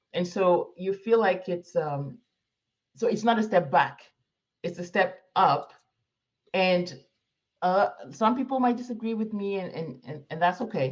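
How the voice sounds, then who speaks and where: Somewhat breathy delivery at a fairly slow pace, with long, frequent pauses and lively intonation. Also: woman, medium pitch for a woman. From Morocco. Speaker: immigrant professional planning move to Africa. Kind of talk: interview conversation.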